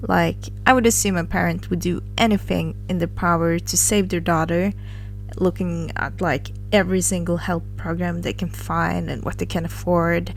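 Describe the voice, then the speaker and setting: Music is in the background. A woman speaks over it at a moderate pace. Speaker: first-time commentary YouTuber. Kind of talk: casual commentary to camera.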